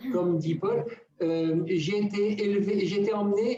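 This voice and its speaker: A man's high-pitched, fairly slow speech with ordinary pitch variation, amid audible room echo and noticeable background noise. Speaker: spiritual teacher. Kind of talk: teaching talk on a live radio show.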